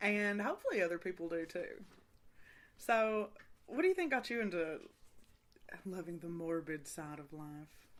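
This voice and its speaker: Long pauses come often in this voice with a Kentucky accent. Its loudness swings widely. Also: woman, medium pitch for a woman, ordinary pitch variation, moderate pace. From Eastern Kentucky. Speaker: podcast host. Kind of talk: casual chat. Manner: rambling.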